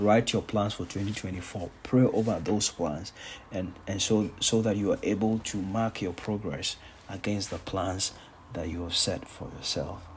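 At a fairly slow pace, a man talks in a somewhat breathy voice with fairly even intonation. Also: fairly low pitch for a man. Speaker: pastor. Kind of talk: sermon.

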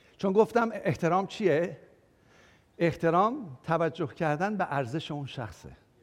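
A man speaks at a fairly slow pace in a high pitch, his tone animated. His intonation is lively. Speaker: pastor. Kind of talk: sermon. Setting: church.

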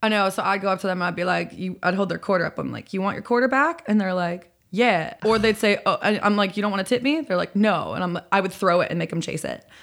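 A woman with an American accent talks very fast with hardly any pauses, at medium pitch with ordinary pitch variation and an animated tone, on a very clean recording with a silent background. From Chicago area, Illinois. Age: young. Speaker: singer-songwriter. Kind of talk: casual chat.

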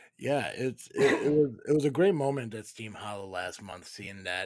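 In an ordinary speaking voice, a man talks fairly quickly at a medium pitch with lively intonation. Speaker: podcast host. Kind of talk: casual live-stream chat with callers. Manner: sarcastic, blunt, jokey.

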